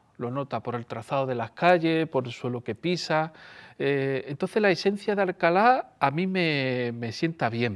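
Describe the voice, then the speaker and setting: A man uses an ordinary speaking voice at a fairly high pitch, with lively intonation. The recording is very clean with a silent background. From Andalusia, Seville area. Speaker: storyteller. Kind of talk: interview.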